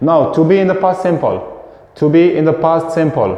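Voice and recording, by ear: A man speaks at a fairly slow pace with a fairly high pitch. Strong room echo surrounds his voice.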